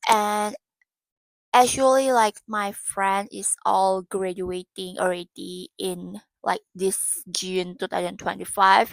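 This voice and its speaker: A woman with an Indonesian accent at a medium pitch and a very slow pace, ordinary pitch variation, big swings in loudness, a dry, close sound with no echo, and a very clean recording with a silent background. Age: 20s. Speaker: vlogger and university student. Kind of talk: casual vlog monologue. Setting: dim room lit by warm lamp. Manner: halting, searching for words.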